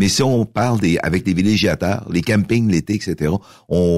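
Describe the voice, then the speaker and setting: At a moderate pace, a man with a very deep, low pitch and vocal fry speaks with lively intonation. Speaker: mayor and former radio host. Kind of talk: casual radio interview.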